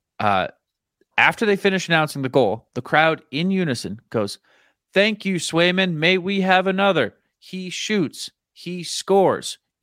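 The recording is very clean, with a silent background. A man speaks fairly slowly in a high pitch with ordinary pitch variation. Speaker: podcast host. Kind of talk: casual chat. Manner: banter, joking.

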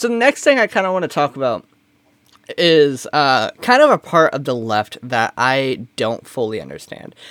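With an ordinary speaking voice, a man talks at a moderate pace and fairly high pitch with lively intonation, the sound dry and close with no echo. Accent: American. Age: 20s. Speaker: comedy podcast co-host. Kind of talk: casual chat.

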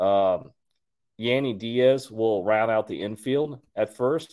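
This is a normal speaking voice from a man with an American accent. His pitch is fairly low, with ordinary pitch variation. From Texas, Houston. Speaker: podcast host. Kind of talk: solo sports commentary. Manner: casual, many fillers.

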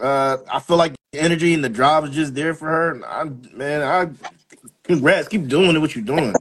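This is an ordinary speaking voice with an American accent. The pace is moderate and the pitch variation ordinary. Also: man, fairly high pitch for a man. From Philadelphia. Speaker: co-host and convention organizer. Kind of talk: casual chat.

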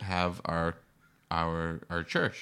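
Recorded very cleanly with a silent background, a man with an American accent speaks at a very deep, low pitch in a bright, sharp tone. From Boston. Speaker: podcast co-host. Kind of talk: casual chat.

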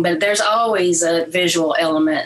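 This woman has a Southern US accent and a fairly low pitch. She talks at a moderate pace with fairly even intonation. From Mississippi, Oxford. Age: 50s. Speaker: artist and creative writing teacher. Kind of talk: interview.

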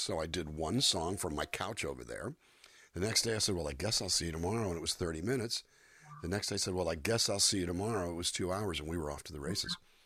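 In an American accent, a man with a very deep, low pitch and a bright, sharp tone talks at a very fast pace, his loudness swinging widely. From US Southwest, California-Mexico border town. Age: 60s. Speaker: singer-songwriter and voice actor. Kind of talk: interview.

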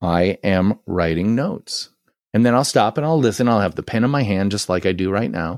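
A man with an ordinary speaking voice talks at a moderate pace with lively intonation. The recording is very clean, with a silent background and a dry, close sound with no echo. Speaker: branding consultant and author. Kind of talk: casual interview chat. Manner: verbose and articulate.

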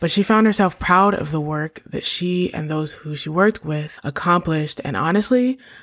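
A woman with an ordinary speaking voice talks at a fairly quick pace with lively intonation on a very clean recording with a silent background. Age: 30s. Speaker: podcast host. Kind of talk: solo reflective monologue.

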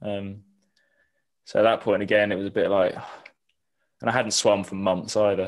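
In a southern English accent, a man speaks at a moderate pace with a fairly low pitch, flat monotone intonation and long, frequent pauses. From southern England, Eastbourne. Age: 20s. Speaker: triathlete and university student. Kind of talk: casual interview.

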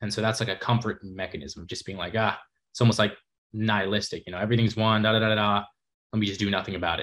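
On a very clean recording with a silent background, a man with an American accent speaks very fast in a fairly low pitch with fairly even intonation. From New York City. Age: young. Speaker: nutrition bar entrepreneur and content creator. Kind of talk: casual chat.

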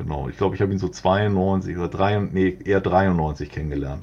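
This man's very deep, low voice has a dark, mellow tone and ordinary pitch variation. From Hamburg, northern Germany. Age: 40s. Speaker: graffiti artist. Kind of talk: interview. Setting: remote internet recording.

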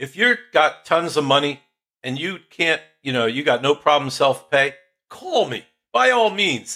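A man's bright, sharp, fairly high voice with lively intonation at a fairly slow pace. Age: 60s. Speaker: podcast host. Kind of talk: casual interview chat.

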